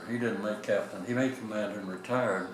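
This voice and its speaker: Over noticeable background noise and audible room echo, a man of medium pitch speaks with fairly even intonation. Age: 90s. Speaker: retired navy captain. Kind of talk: oral history interview. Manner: halting.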